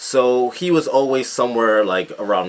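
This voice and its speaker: A man with an American accent talks at a moderate pace with lively intonation over noticeable background noise. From United States. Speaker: political commentator. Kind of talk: video commentary. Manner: halting, many fillers.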